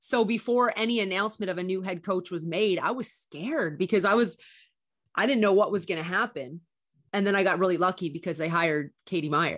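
A woman with a Canadian accent talks in an ordinary speaking voice at a medium pitch and a fairly quick pace. Her pitch varies in an ordinary way against a quiet background. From Canada. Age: 30s. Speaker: basketball broadcaster and former college athlete. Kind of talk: casual interview chat.

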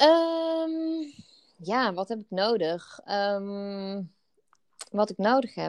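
The voice moves at a very slow pace with long, frequent pauses, very wide pitch swings and big swings in loudness. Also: woman, medium pitch for a woman. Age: 30s. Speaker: podcast co-host, wellbeing business co-founder. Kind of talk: casual chat.

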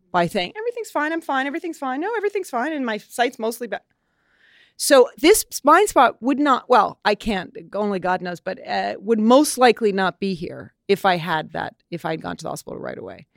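A woman with a New York accent talks fairly quickly with big swings in loudness, in a very clean, silent recording that is dry and close with no echo. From New York City. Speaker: model and actress. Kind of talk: interview conversation. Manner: animated.

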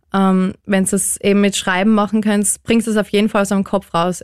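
On a very clean recording with a silent background, a woman speaks at a medium pitch. Her pace is moderate and her intonation monotone and flat. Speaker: listener sharing grief story. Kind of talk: personal testimony.

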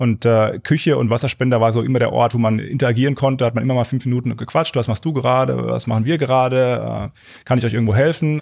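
A man speaks at a very fast pace, with hardly any pauses. His pitch sits in the medium range, and his intonation stays fairly even. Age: 30s. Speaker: scientist. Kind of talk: interview. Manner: halting.

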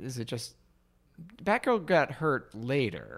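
On a very clean recording with a silent background, a man speaks at a very slow pace with vocal fry and very wide pitch swings. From Alabama. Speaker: comedy writer and actor. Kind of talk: casual chat.

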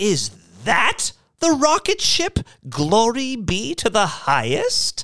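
A put-on character voice with a fairly bright tone, very wide pitch swings and a slow pace

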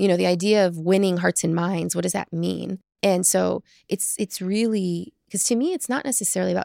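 A woman's normal speaking voice at a moderate pace, dry and close with no echo, on a very clean recording with a silent background. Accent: American. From US South, small-town Texas. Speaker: chief marketing officer. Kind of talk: interview.

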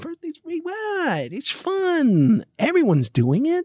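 High-pitched put-on character voice, delivered fairly slowly. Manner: smooth-talking, persuasive.

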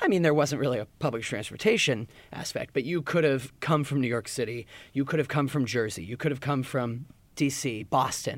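A man with an ordinary speaking voice at a medium pitch, a fairly quick pace and ordinary pitch variation, in a very clean recording with a silent background. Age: 20s. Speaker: finance and sports reporter. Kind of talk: casual chat.

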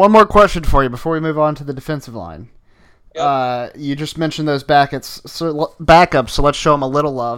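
In a plain, everyday voice, a man with an American accent talks at a fairly quick pace, his pitch fairly high and his pitch variation ordinary. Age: 20s. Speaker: sports podcast host. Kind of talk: casual chat.

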